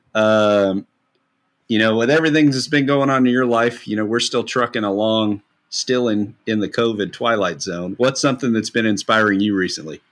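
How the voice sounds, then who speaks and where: In a Kentucky accent, the voice shows ordinary pitch variation in a very clean recording with a silent background. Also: man, medium pitch for a man, moderate pace. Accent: Kentucky Southern US. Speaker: podcast host, music therapist. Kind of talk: casual interview.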